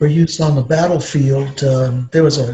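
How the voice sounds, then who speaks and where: At a moderate pace, a man with a fairly high pitch speaks with fairly even intonation over noticeable background noise. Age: 60s. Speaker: retired nuclear power industry expert. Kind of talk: Q&A interview with students. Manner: halting, many fillers.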